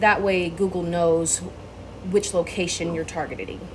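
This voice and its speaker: A woman's fairly low voice with audible room echo and noticeable background noise. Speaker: small business owner pitching SEO services. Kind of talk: sales pitch tutorial recorded for a client. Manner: fast; casual, many filler ums.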